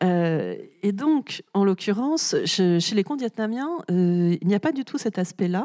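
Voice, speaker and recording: Her tone is dark and mellow, and her pitch swings very widely. The woman speaks at a fairly slow pace, with a dry, close sound and no echo. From France. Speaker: author. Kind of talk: literary talk with audience. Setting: festival stage with audience. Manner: frequent hesitations (euh).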